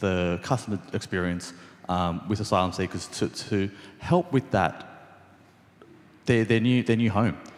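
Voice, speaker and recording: The speaker is a man with an Australian accent. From Sydney, Australia. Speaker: restaurant co-founder. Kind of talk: panel talk. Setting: event with small audience. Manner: many fillers and repetitions.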